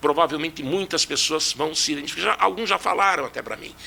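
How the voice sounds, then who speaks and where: A plain, everyday voice at a fairly quick pace. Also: man. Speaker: physics teacher and engineer.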